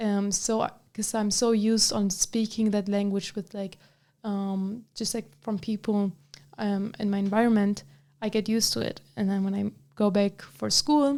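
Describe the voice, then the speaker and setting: With an Arabic accent, this woman talks at a moderate pace in a medium pitch, her dark, mellow tone delivered in a flat monotone. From Germany, Bavaria (Allgäu, near Munich). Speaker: student association officer, college student. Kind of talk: interview. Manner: halting.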